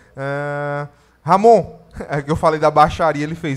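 A plain, everyday voice at a fairly slow pace, with fairly even intonation. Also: man. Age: 20s. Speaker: podcast host. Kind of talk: casual chat.

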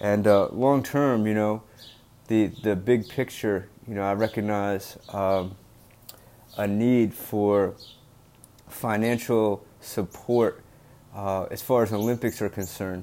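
A man's fairly low, dark and mellow voice in a Mid-Atlantic US accent, very slow, with long, frequent pauses and fairly even intonation. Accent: American Mid-Atlantic. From US, Delaware. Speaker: podcast host, former wrestler. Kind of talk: solo podcast monologue. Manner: halting, many fillers.

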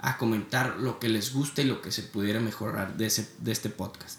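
Using an ordinary speaking voice, a man keeps a moderate pace and ordinary pitch variation. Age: 20s. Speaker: podcast host, student entrepreneur. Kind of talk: motivational podcast intro monologue.

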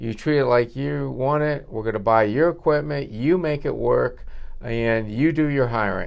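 A man's unremarkable speaking voice with an American accent, medium in pitch, at a moderate pace with lively intonation. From northwestern Pennsylvania, US. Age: 60s. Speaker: dentist. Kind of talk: casual interview. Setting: dental office reception room.

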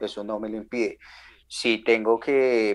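The recording is very clean, and the background is silent. In it, a man speaks at a fairly slow pace. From Colombia, Ibagué (Tolima). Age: 20s. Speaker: sound engineer and tour manager. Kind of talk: casual interview.

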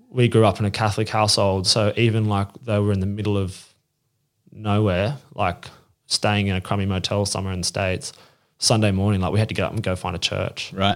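A man's fairly low voice in an Australian accent, monotone and flat, at a fairly quick pace, on a very clean recording with a silent background. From Australia, northern beaches of Sydney. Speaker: magazine publisher. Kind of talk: casual chat. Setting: sitting at a table in person.

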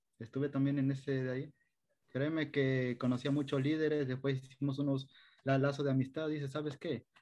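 Moving at a fairly quick pace, a man speaks in a dark, mellow tone with monotone, flat intonation. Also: fairly high pitch for a man. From Ecuador, coastal El Oro province (Machala). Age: 20s. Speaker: youth service club volunteer leader. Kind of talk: interview conversation.

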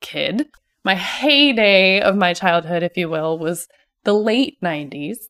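A woman speaks with an American accent at a fairly slow pace, in an ordinary speaking voice. Her pitch is medium, and the sound is dry and close with no echo. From Ohio and California, US. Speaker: hairstylist podcast host. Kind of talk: personal monologue.

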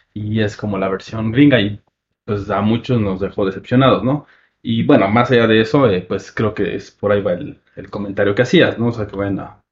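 Somewhat breathy speech at a moderate pace, with fairly even intonation. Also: man, fairly low pitch for a man. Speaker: film podcast host. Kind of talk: casual chat. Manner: soft-spoken.

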